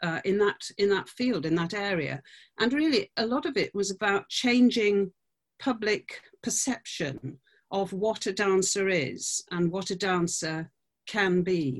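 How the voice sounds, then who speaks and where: A woman with a British accent, lively intonation and a fairly slow pace, over a quiet background. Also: medium pitch for a woman. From UK. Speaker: dancer and choreographer. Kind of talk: interview. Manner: halting.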